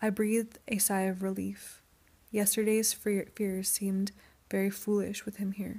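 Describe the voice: What we hear is plain reading aloud.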